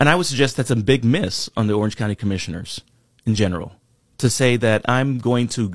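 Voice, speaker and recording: Recorded very cleanly against a silent background, with a dry, close sound and no echo, a man speaks at medium pitch and a fairly quick pace with ordinary pitch variation. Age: 40s. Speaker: political candidate. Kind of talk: interview. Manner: hesitant, many fillers.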